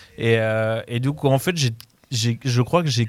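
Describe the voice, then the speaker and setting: A man uses a normal speaking voice, medium in pitch and with ordinary pitch variation, on a very clean recording against a silent background. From France, Paris region (Mantes-la-Jolie). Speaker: music programmer. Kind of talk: casual radio debate.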